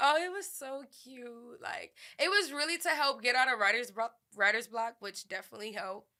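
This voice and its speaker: Speaking with a New Orleans accent, a woman talks at a fairly quick pace in a bright, sharp tone with lively intonation. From New Orleans, Louisiana. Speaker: rapper and songwriter. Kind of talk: interview answer.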